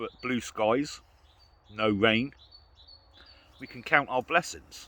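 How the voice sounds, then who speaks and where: Speaking very slowly with a British accent, a man uses a medium pitch with ordinary pitch variation and big swings in loudness. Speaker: outdoor vlogger. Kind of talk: casual vlog monologue. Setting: outdoors in the woods.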